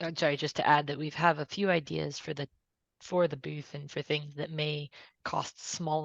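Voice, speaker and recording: A woman with a very deep, low pitch and vocal fry speaks in a flat monotone at a moderate pace, the sound dry and close with no echo over a quiet background. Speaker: working group co-organizer. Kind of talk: online meeting discussion.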